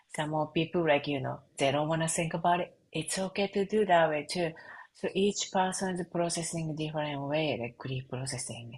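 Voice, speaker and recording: At a moderate pace, a woman with a Japanese accent speaks in a very deep, low pitch with ordinary pitch variation and a somewhat breathy voice. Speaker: reiki and sound healing practitioner. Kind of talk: interview conversation. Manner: halting.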